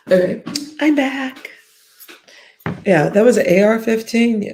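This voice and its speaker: Music plays in the background as the speaker goes at a fairly slow pace with ordinary pitch variation. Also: woman, fairly high pitch for a woman. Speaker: live streamer. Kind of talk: casual live stream chat.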